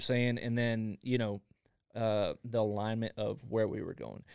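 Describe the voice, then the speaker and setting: A plain, everyday voice in an American accent at a moderate pace. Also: man. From Texas (Fort Worth, Waco). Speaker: podcaster. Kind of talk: casual interview.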